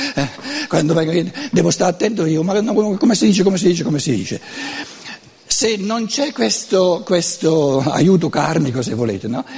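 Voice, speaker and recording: A man speaks in a Lombard accent with a high pitch. His pitch swings very widely over noticeable background noise. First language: Lombard dialect (speaking Italian). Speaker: lecturer on philosophy. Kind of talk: lecture.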